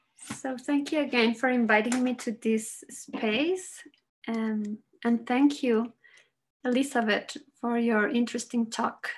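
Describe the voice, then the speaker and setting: A woman speaks in a high voice with a Spanish accent and fairly even intonation. The background is quiet. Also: fairly slow pace. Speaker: psychologist and researcher. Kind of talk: conference presentation. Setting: video call.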